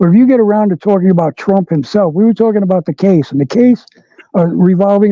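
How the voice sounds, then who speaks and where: At a fairly quick pace, a man speaks with a dark, mellow tone, a high pitch and ordinary pitch variation. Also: dry, close sound with no echo. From New York. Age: 60s. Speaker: political commentator. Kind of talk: interview. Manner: animated.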